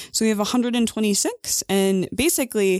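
A woman with an American accent talks at a very fast pace, in a very clean recording with a silent background and a dry, close sound with no echo. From US Midwest, north central Illinois. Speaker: nonprofit associate director. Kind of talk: casual interview.

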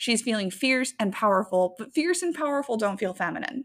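On a very clean recording with a silent background, a woman speaks at a fairly quick pace in an animated tone, her pitch swinging very widely. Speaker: podcast co-host. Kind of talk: casual chat podcast banter. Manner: loud, naturally on an eight; animated, profane.

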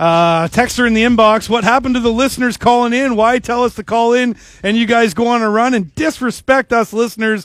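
Speaking with a Canadian accent, a man with an extremely high pitch talks at a fairly quick pace, with ordinary pitch variation and very even loudness. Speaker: sports radio host. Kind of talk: casual sports talk radio. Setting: radio studio. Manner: jokey.

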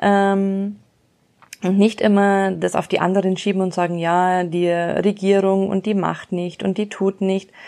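A woman talks at a very slow pace in a dark, mellow tone. Her intonation is monotone and flat. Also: medium pitch for a woman. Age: 30s. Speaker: podcast host. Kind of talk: motivational monologue. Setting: outdoors on horseback.

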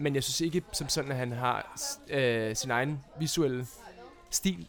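With an ordinary speaking voice, a man talks at a fairly high pitch with ordinary pitch variation. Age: young. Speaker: film director and actor. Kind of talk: casual chat. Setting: studio.

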